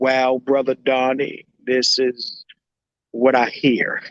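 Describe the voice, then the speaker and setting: A man does a put-on character voice at medium pitch, speaking at a very slow pace in a monotone, flat intonation. The sound is dry and close, with no echo. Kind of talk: preacherly. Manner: sermon-like, wise.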